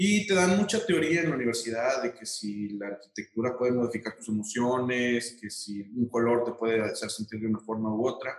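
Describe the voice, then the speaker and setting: A man with an ordinary speaking voice talks at a fairly quick pace with hardly any pauses. His pitch is medium, with ordinary variation. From Mexico, Aguascalientes. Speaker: architect. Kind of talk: interview.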